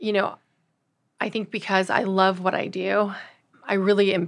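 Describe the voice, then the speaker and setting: Bright and sharp in tone, a woman's medium-pitched voice carries vocal fry at a moderate pace. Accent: American. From US West Coast, Los Angeles. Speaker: surgeon. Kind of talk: interview. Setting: studio.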